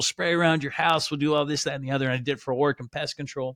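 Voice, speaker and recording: A man with an American accent speaks in a plain, everyday voice with fairly even intonation. The recording is very clean and dry, close with no echo, over a silent background. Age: 30s. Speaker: podcast host and entrepreneur. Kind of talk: personal storytelling monologue. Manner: casual, filler-heavy.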